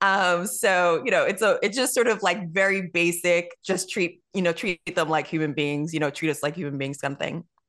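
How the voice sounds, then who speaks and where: An ordinary speaking voice runs at a moderate pace with ordinary pitch variation and hardly any pauses over a quiet background. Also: woman, fairly low pitch for a woman. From New York. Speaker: TV writer and actress. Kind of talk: interview.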